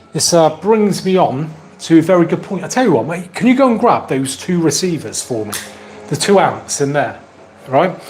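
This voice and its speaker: A man speaks at a moderate pace with a high pitch and lively intonation over noticeable background noise. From Somerset, England. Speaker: tech YouTuber. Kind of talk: live stream Q&A, casual chat. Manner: animated, chatty.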